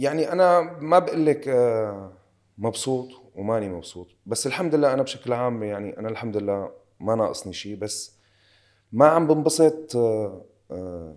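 Over a very clean recording with a silent background, a man speaks at a fairly slow pace and medium pitch, with lively intonation, big swings in loudness and long, frequent pauses. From Syria. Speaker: actor. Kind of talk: casual interview chat.

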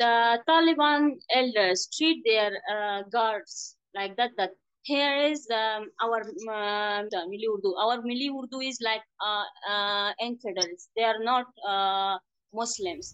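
Ordinary pitch variation runs through this fairly slow speech. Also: woman, fairly high pitch for a woman. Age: young. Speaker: volunteer, former teacher or government worker. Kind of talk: interview testimony. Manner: halting.

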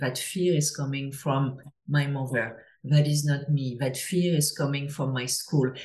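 A woman with a French accent, a very deep, low pitch, a somewhat breathy sound and a fairly slow pace. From France. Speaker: former venture capitalist turned psychedelics mental health advocate. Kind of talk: casual interview.

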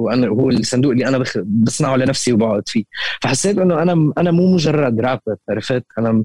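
A man talks at a fairly quick pace with lively intonation in a medium-pitched voice. The sound is dry and close, with no echo. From Damascus, Syria. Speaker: rapper and music producer. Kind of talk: podcast interview. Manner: hesitant, many fillers, mixes in English words.

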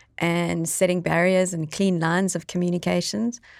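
Against a silent background in a very clean recording, a woman with a South African accent talks at a moderate pace. The sound is dry and close, with no echo. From South Africa (Eastern Cape, near East London). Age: 40s. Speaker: podcast co-host and entrepreneur. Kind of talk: casual chat. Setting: studio.

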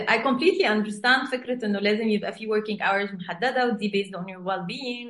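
A woman with an Egyptian accent talks at a fairly quick pace, her pitch fairly high with ordinary variation. Noticeable background noise runs beneath her. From Egypt, raised in Saudi Arabia. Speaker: executive coach. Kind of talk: interview, casual chat mixing Arabic and English.

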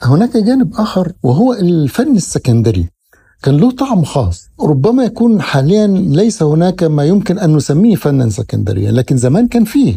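Hardly pausing, a man with a high, dark, mellow voice speaks at a moderate pace, making very wide pitch swings while his loudness stays very even. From Egypt, Alexandria (Laban district). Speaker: engineering consultant and author. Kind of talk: interview. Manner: formal, mixing Standard Arabic with Egyptian dialect.

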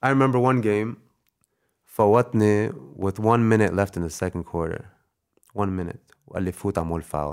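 A man with a Canadian accent, fairly low in pitch with ordinary variation, at a moderate pace with long, frequent pauses. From Canada. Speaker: basketball player. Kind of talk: casual chat.

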